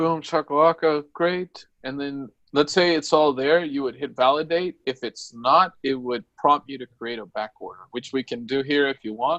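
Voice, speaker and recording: With an unremarkable speaking voice, a man at a fairly high pitch talks at a moderate pace with hardly any pauses, ordinary pitch variation and big swings in loudness, in a dry, close sound with no echo. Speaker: software trainer. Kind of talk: tutorial.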